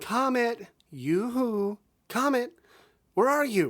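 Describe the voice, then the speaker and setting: In a put-on character voice, the speaker talks at a very slow pace with a fairly high pitch. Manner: calling out cheerfully.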